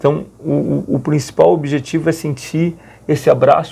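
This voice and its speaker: This man's voice is fairly high-pitched, dark, mellow and somewhat breathy. He speaks at a fairly slow pace with ordinary pitch variation. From Rio Grande do Sul, Brazil. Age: 40s. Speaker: Capuchin friar and long-distance pilgrim walker. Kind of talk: radio interview answer.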